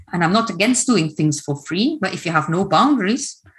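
A woman with a Dutch accent speaks at a moderate pace. Her voice is somewhat breathy, with lively intonation. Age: 50s. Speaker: coach and trauma trainer. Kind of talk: online workshop presentation. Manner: hesitant, many fillers.

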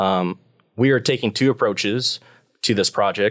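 A man with an American accent and an unremarkable speaking voice, fairly low and fairly even, at a fairly quick pace, on a very clean, dry, close recording with no echo and a silent background. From US Midwest, Nebraska. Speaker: PhD student researcher. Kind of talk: interview.

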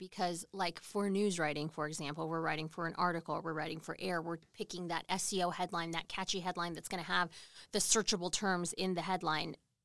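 In a very clean recording with a silent background, a woman with a normal speaking voice and fairly low pitch talks at a fairly quick pace with fairly even intonation and hardly any pauses. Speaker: morning TV news host. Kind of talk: casual interview chat. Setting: livestreamed on social media.

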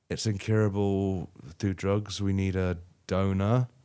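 This man's voice sits fairly low in pitch, with a dark, mellow tone. The recording is very clean, the background silent. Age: 40s. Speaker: podcast co-host, games journalist. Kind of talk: casual chat.

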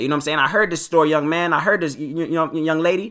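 A man delivers his lines in an animated tone that sounds bright and sharp. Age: 20s. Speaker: podcast host. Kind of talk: casual monologue podcast. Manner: fast talker; casual, animated.

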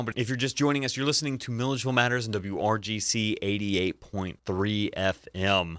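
Here a man speaks at a fairly quick pace with lively intonation. His tone is bright and sharp. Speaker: radio host. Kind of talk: radio interview. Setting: studio.

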